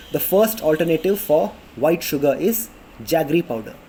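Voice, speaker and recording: The speaker has a South Indian accent. The intonation is lively. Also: man. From India, Karnataka. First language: Kannada. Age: 20s. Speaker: vlogger. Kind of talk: casual informational talk to camera. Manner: halting, many fillers.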